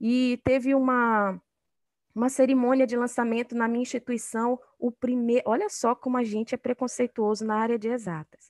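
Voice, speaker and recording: Her pitch is high and her intonation fairly even as this woman talks at a moderate pace. The sound is dry and close with no echo, over a quiet background. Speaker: university professor and researcher in engineering. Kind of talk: interview. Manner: hesitant, many fillers. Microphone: connection froze.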